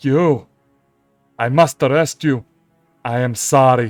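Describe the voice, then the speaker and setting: Faint music plays behind a man doing a put-on character voice at medium pitch and a fairly slow pace. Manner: stiff, regretful.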